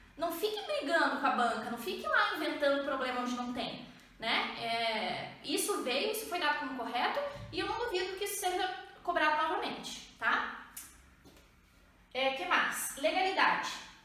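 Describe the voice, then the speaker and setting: Over noticeable background noise and audible room echo, a woman uses a raised, projected voice at a high pitch with very wide pitch swings and a moderate pace. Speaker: exam prep teacher. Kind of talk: lecture.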